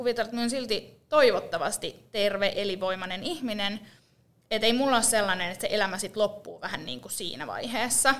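Speaking at a very fast pace, a woman with a fairly high voice shows ordinary pitch variation and big swings in loudness. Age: 30s. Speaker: podcast co-host. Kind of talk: casual chat. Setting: rented podcast studio.

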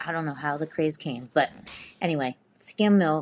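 An unremarkable speaking voice at a moderate pace. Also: woman. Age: 40s. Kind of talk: casual chat.

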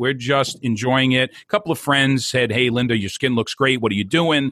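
An animated, bright, sharp man's voice with a New Jersey accent, medium pitch and fairly quick pace, in a very clean recording with a silent background and a dry, close sound with no echo. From New Jersey (Hoboken). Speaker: entrepreneur and network marketer. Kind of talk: interview.

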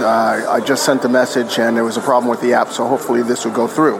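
Recorded with audible room echo, a man speaks over noticeable background noise. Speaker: online seller. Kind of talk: voice message question. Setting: cafe.

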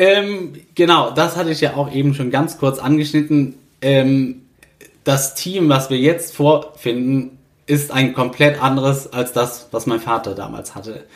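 A man speaks at a fairly slow pace in a normal speaking voice. His pitch is fairly high with ordinary pitch variation. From Rhineland, Germany (Niederkassel). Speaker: master carpenter, family business successor. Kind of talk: interview.

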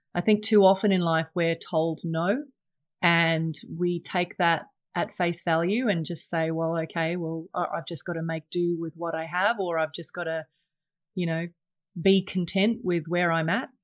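Fairly even intonation at a moderate pace, on a very clean recording with a silent background. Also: woman, fairly low pitch for a woman. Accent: Australian. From England until age nine, then Australia. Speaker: investment advisor and podcast host. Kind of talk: solo podcast monologue. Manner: many fillers and repetitions.

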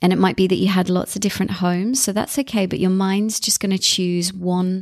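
Warm and animated in tone, a woman with a medium pitch talks at a fairly quick pace. The recording is very clean, with a silent background. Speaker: therapist and podcast host. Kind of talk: guided meditation. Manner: warm, encouraging, animated in intro.

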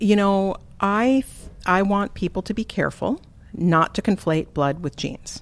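A woman with an American accent and an unremarkable speaking voice talks at a medium pitch and a moderate pace, with ordinary pitch variation. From US Upper Midwest (eastern South Dakota, Twin Cities). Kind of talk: interview conversation.

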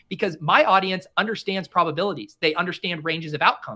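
A fairly quick, bright and sharp voice with a General American accent. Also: man. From Denver, Colorado. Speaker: fantasy sports content creator. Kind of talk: casual chat.

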